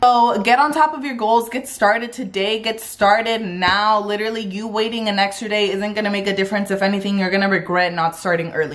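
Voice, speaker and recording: Here a woman speaks at a fairly quick pace with ordinary pitch variation. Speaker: lifestyle vlogger. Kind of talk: casual vlog chat. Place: home room. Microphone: phone near.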